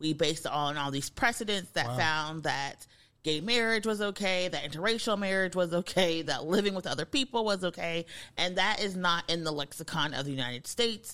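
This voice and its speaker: A woman with a normal speaking voice, fairly low in pitch, at a fairly quick pace with lively intonation, on a very clean recording with a silent background. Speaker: co-host and legal commentator. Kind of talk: casual banter podcast on politics and race.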